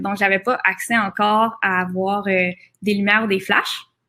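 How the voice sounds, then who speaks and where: A woman speaks at a moderate pace. She has a Quebec accent. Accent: Québécois French. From Quebec, Laurentides. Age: 20s. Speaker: photographer. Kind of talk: seminar presentation. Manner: hesitant, many fillers.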